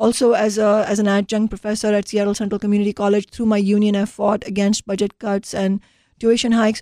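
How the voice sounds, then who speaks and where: A woman with a medium pitch and a dark, mellow tone talks at a very fast pace in a monotone, flat intonation with very even loudness. The sound is dry and close with no echo. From India. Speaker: city council member. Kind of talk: interview.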